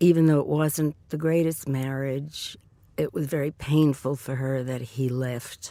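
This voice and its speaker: A woman with a New York accent speaks fairly slowly in a very deep, low pitch, her dark, mellow tone flat and monotone. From New York City (the Bronx). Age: 70s. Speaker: interviewee telling her life story. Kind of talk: oral history interview. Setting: recording booth in a train station. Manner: halting, many fillers.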